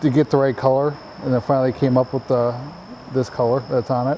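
A man speaks over light background noise. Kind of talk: interview answer. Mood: relaxed, modest. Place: garage. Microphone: lapel.

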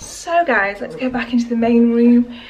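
Faint background noise sits behind the speaker. The delivery moves at a moderate pace with lively intonation and a slightly mellow tone. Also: woman, fairly high pitch for a woman.

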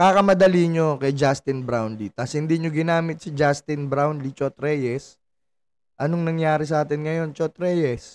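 Here a man speaks in an animated tone. His pitch is fairly high and his pace moderate. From Philippines. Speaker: sports vlogger. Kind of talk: angry rant, sarcastic commentary on a basketball loss. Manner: animated, exasperated, sarcastic; repeats phrases, rising volume, laughs mid-rant. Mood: frustrated, critical. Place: home room. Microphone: studio mic.

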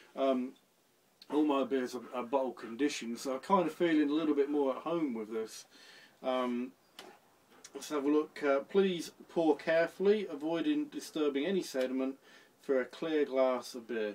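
A man's voice shows ordinary pitch variation and keeps a moderate pace. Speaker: home brewer reviewing beer. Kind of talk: casual vlog chat. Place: home room. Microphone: phone near.

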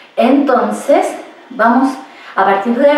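Audible room echo follows this woman. Her voice is high-pitched. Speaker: exercise instructor. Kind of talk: tutorial. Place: home room. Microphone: camera far.

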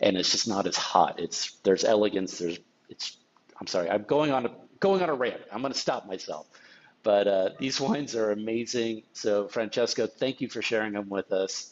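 This man talks at a moderate pace in an American accent. There's ordinary variation in his pitch. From Napa, California; California. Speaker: sommelier; tasting host. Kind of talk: wine tasting discussion. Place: home room.

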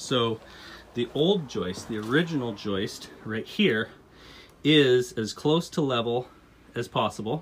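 A man is speaking against light background noise. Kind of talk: tutorial. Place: home room. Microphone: phone near.

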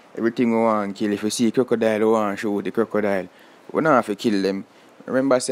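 A man talks with a Jamaican accent. His pace is fairly quick. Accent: Jamaican Patois-accented English. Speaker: vlogger. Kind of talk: casual vlog commentary. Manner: animated.

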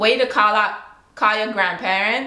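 A woman speaks with a Virgin Islands accent. Room echo can be heard. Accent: Virgin Islands Creole. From British Virgin Islands. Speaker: vlogger. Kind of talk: casual talk to camera. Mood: playful, relaxed. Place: home room. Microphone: webcam.

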